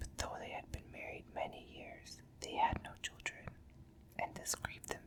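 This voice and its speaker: Someone whispers in a soothing tone at a moderate pace over noticeable background noise. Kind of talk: ASMR bedtime story reading. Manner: whispered, soothing.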